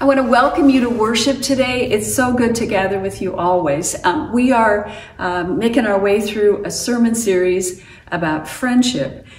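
A woman speaks at a moderate pace with audible room echo and light background noise. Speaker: pastor. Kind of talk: worship welcome address. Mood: warm, welcoming. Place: home room. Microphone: camera far.

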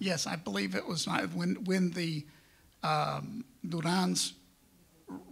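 The speaker has an American accent and talks at a very slow pace. Long, frequent pauses break up the speech. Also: man. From Texas, San Antonio; Texas. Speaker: media and real estate businessman, panelist; panelist. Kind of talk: conference panel talk. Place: hall.

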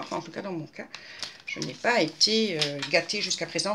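With noticeable background noise, a woman speaks at a moderate pace, her pitch swinging very widely. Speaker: craft video maker. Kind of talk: casual vlog talk to viewers; casual vlog chat. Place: home room. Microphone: webcam.

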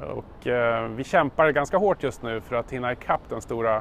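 At a moderate pace, a man talks in a dry recording with no echo and light background noise. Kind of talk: corporate video greeting. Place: street. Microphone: lapel.

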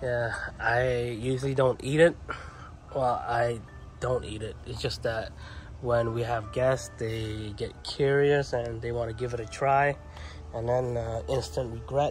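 With faint music in the background, the speech moves at a fairly slow pace with long, frequent pauses, and the sound is dry with no echo. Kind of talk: casual vlog chat. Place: garden. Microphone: phone near.

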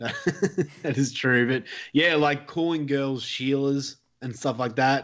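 At a very slow pace, a man talks with a fairly high pitch and ordinary pitch variation. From Australia. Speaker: podcast co-host. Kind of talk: casual chat.

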